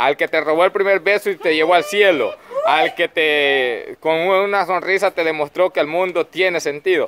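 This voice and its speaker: Using fairly even intonation, a man speaks at a fairly slow pace in a high pitch. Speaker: host interviewer. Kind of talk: casual questioning of group. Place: farm machine. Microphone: phone near.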